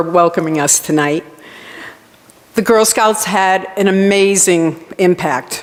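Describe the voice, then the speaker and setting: Speaking very slowly, a woman uses a medium pitch and ordinary pitch variation. She has a Rhode Island accent, with noticeable background noise behind her. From Rhode Island, US. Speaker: college campus director. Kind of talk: award acceptance speech.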